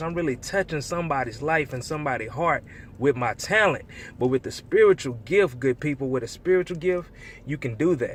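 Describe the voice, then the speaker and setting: Over noticeable background noise, a man speaks in a fairly high pitch with ordinary pitch variation. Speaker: preacher delivering inspirational talk. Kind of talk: inspirational spoken-word sermon to camera. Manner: casual, conversational, with frequent fillers.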